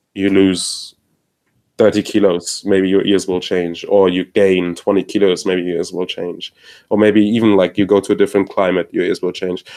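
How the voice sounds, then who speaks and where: A man with a non-native accent talks at a moderate pace in a fairly low pitch with monotone, flat intonation. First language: not English. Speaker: headphone enthusiast panelist. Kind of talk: casual chat. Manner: halting.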